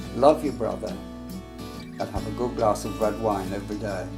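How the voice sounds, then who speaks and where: Music plays behind a man with an English accent and fairly low pitch, who speaks at a fairly slow pace with very wide pitch swings. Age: 80s+. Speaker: actor. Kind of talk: reflective talk to camera.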